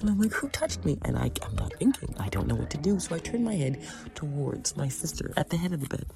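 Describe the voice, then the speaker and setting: A woman rushes along at a very fast pace with noticeable background noise around her. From Canada, Scarborough, Ontario, Jamaican roots. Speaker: podcast host. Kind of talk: casual monologue. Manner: animated.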